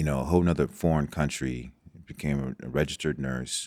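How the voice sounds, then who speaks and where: At a fairly quick pace, a man speaks in a very deep, low pitch with vocal fry and fairly even intonation. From Nigeria, moved to US as a child. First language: Igbo. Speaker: doctor and former football prospect. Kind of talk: podcast interview. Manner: halting, many fillers and repetitions.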